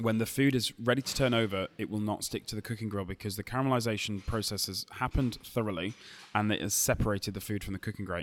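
On a very clean recording with a silent background, a man in a Lancashire accent speaks very fast in a fairly low pitch with fairly even intonation. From Lancashire, northern England. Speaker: barbecue cook and food expert. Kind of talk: interview. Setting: hotel lobby cafe, recorded live at a food show.

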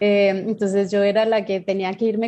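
A woman's medium-pitched voice with a dark, mellow tone, at a moderate pace in a monotone, flat intonation. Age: 40s. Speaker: singer. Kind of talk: interview.

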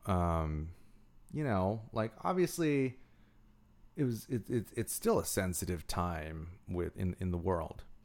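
At a very slow pace, a man with a very deep, low pitch uses lively intonation on a very clean recording with a silent background. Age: 30s. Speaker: internet personality and video producer. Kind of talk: casual interview chat. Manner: halting, many fillers and restarts.

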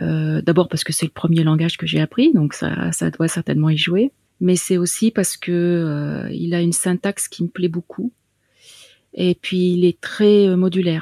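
A woman's fairly low, dark, mellow voice with fairly even intonation at a fairly slow pace, the sound dry and close with no echo, on a very clean recording with a silent background. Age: 50s. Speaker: self-taught web developer and home care worker. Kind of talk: casual interview. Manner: hesitant, many fillers.

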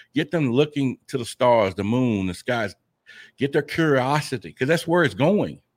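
Man in a normal speaking voice at medium pitch, moderate pace and lively intonation, dry, close sound with no echo, very clean recording, silent background. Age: 50s. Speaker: UFO investigator and podcaster. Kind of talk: interview.

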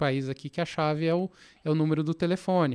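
Recorded very cleanly against a silent background, a man speaks with ordinary pitch variation. The sound is dry and close, with no echo. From Brazil, interior of Minas Gerais (Passos). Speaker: fintech product executive. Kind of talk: interview conversation. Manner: halting, many fillers.

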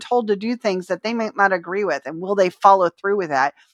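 The tone is animated, with lively intonation. Speech moves at a fairly quick pace over a quiet background. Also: woman. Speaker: podcast host. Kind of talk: casual interview chat. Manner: fast talker.

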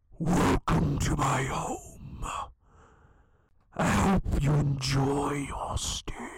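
In a put-on character voice, a man whispers raspily at a very slow pace, leaving long, frequent pauses. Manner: menacing, whispering.

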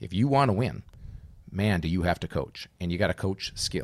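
A man with an American accent talks at a moderate pace and a fairly low pitch, with ordinary pitch variation, in a normal speaking voice. The recording is very clean, with a silent background. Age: 50s. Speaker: former college hockey player and hockey dad. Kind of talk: casual chat.

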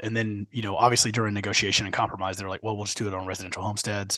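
An American accent against a quiet background. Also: man. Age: 30s. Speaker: podcast co-host on local government finance. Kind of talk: casual chat.

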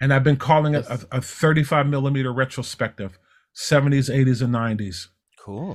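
With a plain, everyday voice, a man of medium pitch speaks at a moderate pace and with ordinary pitch variation on a very clean recording with a silent background. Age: 60s. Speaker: television technical director. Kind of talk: casual chat.

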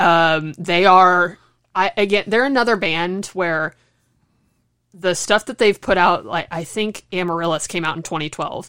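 In a very clean recording with a silent background, a woman with a fairly low pitch and bright, sharp tone speaks at a fairly slow pace with ordinary pitch variation. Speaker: podcast co-host, student. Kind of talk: casual chat. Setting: at home.

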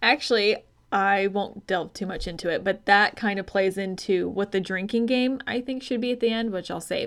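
With an unremarkable speaking voice, a woman talks at a moderate pace and a medium pitch, with hardly any pauses. Her intonation is fairly even, on a very clean recording with a silent background. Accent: General American. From Arizona. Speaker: podcast co-host, health coach. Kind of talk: casual chat.

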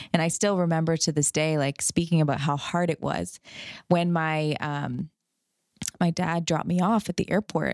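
A woman with a normal speaking voice talks at a moderate pace and fairly low pitch, with fairly even intonation, in a dry, close sound with no echo on a very clean recording with a silent background. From Canada. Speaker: chiropractor. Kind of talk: casual chat.

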